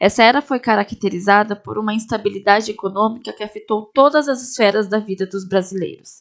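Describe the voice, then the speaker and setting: A woman with a plain, everyday voice talks at a fairly quick pace and a fairly high pitch, with ordinary pitch variation and hardly any pauses. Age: 20s. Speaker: history student, podcast host. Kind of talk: scripted narration. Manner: formal.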